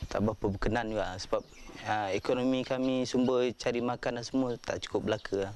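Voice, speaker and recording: A man at a fairly quick pace, fairly even intonation and very even loudness, in a dry sound with no echo and light background noise. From Malaysia, Pahang interior (Orang Asli village); Malaysia. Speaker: interviewee. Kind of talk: documentary interview testimony. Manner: halting, many fillers. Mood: earnest, aggrieved. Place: open country. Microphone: lapel.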